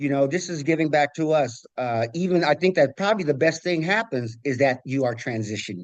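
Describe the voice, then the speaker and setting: A man talks in a plain, everyday voice at a fairly high pitch and a fairly quick pace. His intonation is lively, and the sound is dry and close with no echo. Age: 60s. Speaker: community advocate presenting a proposal. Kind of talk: public meeting presentation. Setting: commission meeting.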